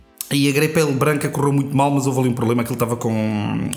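A man talks at a very fast pace with fairly even intonation. Noticeable background noise runs behind him. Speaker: brewer. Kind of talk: casual chat.

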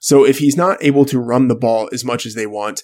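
The recording is very clean, its background silent. A man talks in a medium pitch. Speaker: fantasy sports editor. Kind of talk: casual sports chat. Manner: low-energy; hesitant, many fillers.

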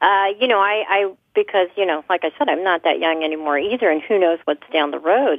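A woman with an American accent, a normal speaking voice, ordinary pitch variation and a fairly quick pace. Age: 60s. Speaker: home care worker. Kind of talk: interview.

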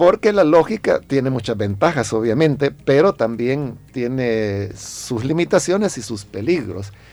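The speech comes in a normal speaking voice at a fairly slow pace, with lively intonation. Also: man. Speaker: pastor. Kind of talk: radio interview giving pastoral advice. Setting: radio studio.

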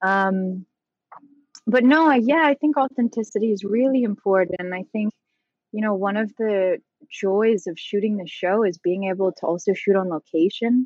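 A woman with a plain, everyday voice speaks at a medium pitch and moderate pace, with ordinary pitch variation. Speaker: actor. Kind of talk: interview conversation. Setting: video call.

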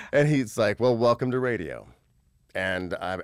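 A man with an American accent speaks in a normal speaking voice at a moderate pace, recorded very cleanly with a silent background. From Indiana, US Midwest. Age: 40s. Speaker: radio host. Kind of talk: casual chat. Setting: studio.

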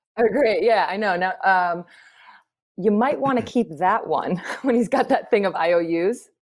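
A woman with an ordinary speaking voice talks at a medium pitch and a fairly slow pace. Her intonation is lively while her loudness stays very even. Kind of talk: casual chat. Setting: video call.

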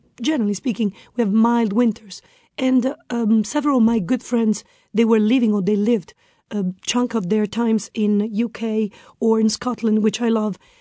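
A woman speaks with an Italian accent and fairly even intonation. Her tone is dark and mellow against a quiet background. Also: fairly high pitch for a woman, moderate pace, very even loudness. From northern Italy. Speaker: expat guest. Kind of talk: interview.

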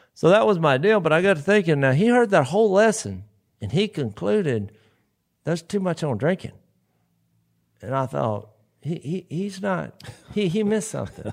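A high-pitched man with a Southern accent, very wide pitch swings and long, frequent pauses, on a very clean recording with a silent background. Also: moderate pace. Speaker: podcast co-host and preacher. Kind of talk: casual chat.

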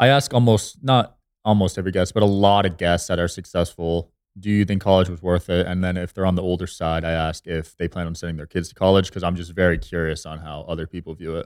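Very deep, low-pitched man at a very fast pace, with fairly even intonation, on a very clean recording with a silent background. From New Jersey. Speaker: podcast host and entrepreneur. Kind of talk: casual chat.

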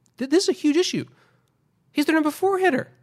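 Squeaky, extremely high put-on character voice from a woman, very fast, with ordinary pitch variation. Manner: agitated, emphatic.

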